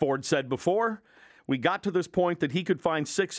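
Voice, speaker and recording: A man with a plain, everyday voice talks at a moderate pace with lively intonation. The recording is very clean, with a silent background. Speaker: radio host. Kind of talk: angry rant, radio commentary. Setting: radio studio. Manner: indignant, sarcastic, forceful.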